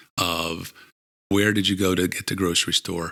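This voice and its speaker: A man speaks at a very deep, low pitch with a bright, sharp tone. His intonation is monotone and flat. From Pittsburgh, US. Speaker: food distribution sales professional. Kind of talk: casual interview. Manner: slow, hesitant.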